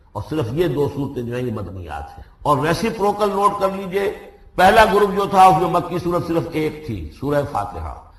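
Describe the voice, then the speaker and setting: A man with a high-pitched voice, noticeable background noise behind him. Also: lively intonation. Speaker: Islamic scholar giving a lecture. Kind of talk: religious lecture on Quran exegesis. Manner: fluent, didactic, explanatory.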